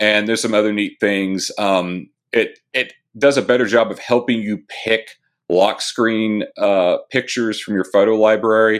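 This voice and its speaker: With a normal speaking voice, a man talks at a moderate pace and a fairly low pitch. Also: fairly even intonation, very clean recording, silent background. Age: 30s. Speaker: tech author. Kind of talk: interview.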